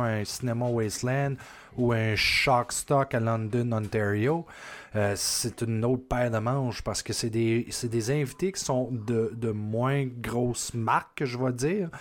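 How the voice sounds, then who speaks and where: With a Quebec accent, a man speaks at a fairly slow pace and medium pitch with fairly even intonation. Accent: Québécois French. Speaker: podcast host. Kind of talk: casual chat.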